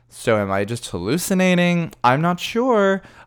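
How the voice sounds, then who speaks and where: Over a very clean recording with a silent background, a man uses an ordinary speaking voice with lively intonation at a fairly slow pace. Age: 30s. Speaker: drag queen podcast host. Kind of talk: casual monologue.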